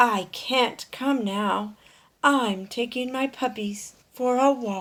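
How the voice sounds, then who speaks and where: Using a put-on character voice, a woman talks at a very slow pace, high-pitched, with fairly even intonation. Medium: read story. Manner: brisk, apologetic.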